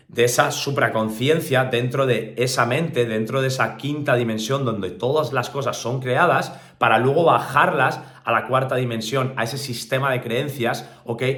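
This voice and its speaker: Audible room echo and noticeable background noise surround a man's voice. He speaks at a medium pitch and moderate pace with fairly even intonation. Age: 30s. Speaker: motivational speaker. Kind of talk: motivational talk.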